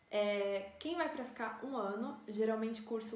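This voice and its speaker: Audible room echo and noticeable background noise surround this recording. A woman speaks at a moderate pace and a fairly high pitch. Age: 20s. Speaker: engineering student. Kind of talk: informative talk to camera.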